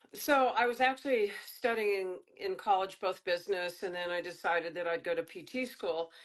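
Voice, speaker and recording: A woman with an ordinary speaking voice, medium pitch and ordinary pitch variation, at a moderate pace with hardly any pauses. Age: 60s. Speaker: fitness trainer and author. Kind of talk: interview.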